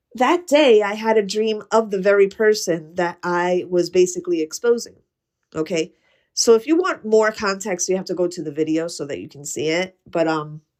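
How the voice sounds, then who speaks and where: This is an ordinary speaking voice at a moderate pace with ordinary pitch variation. Its loudness swings widely. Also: woman, medium pitch for a woman. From US, Puerto Rican and Ukrainian heritage. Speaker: podcast host. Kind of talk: casual monologue. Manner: conversational, with fillers.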